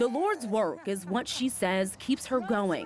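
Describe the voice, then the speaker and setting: At a moderate pace, a woman with a normal speaking voice talks in a fairly high pitch with lively intonation. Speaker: news anchor and reporter. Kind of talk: TV news feature voiceover.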